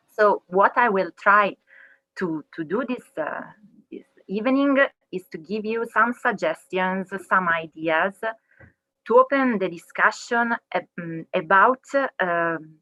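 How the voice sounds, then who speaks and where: Her tone bright and sharp, a woman speaks at a very slow pace in a dry, close sound with no echo. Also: medium pitch for a woman, lively intonation, big swings in loudness. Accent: Italian. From Italy, Milan. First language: Italian. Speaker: legal researcher. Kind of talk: webinar talk.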